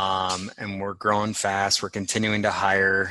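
A man speaks with a bright, sharp tone. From San Francisco. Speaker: tech company founder. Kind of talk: interview.

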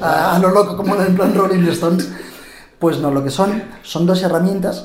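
Noticeable background noise and audible room echo are present. Through them, a man talks at a moderate pace. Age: 30s. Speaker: journalist. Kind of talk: interview.

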